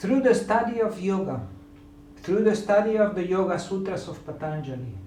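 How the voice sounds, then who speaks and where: A man's high-pitched voice with a non-native accent and lively intonation at a moderate pace, with audible room echo and noticeable background noise. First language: not English. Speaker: yoga teacher. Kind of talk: lecture. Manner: halting.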